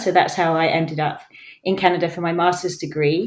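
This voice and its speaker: A woman's fairly low voice with an English accent. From England. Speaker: professor. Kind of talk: podcast interview.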